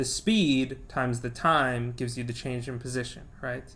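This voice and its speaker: A medium-pitched man at a fairly slow pace, with audible room echo. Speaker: physics teacher. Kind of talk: lecture.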